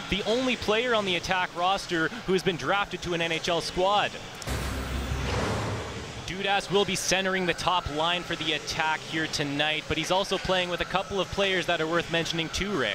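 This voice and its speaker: A man with a high pitch sounds upbeat at a moderate pace, his loudness very even. Noticeable background noise runs underneath. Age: 20s. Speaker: sports broadcaster. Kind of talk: TV sports broadcast hosting.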